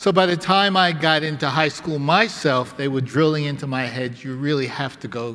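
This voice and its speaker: With a New York accent, a man with a fairly high pitch talks at a moderate pace with lively intonation. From New York City. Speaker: academic speaker. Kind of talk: conference talk.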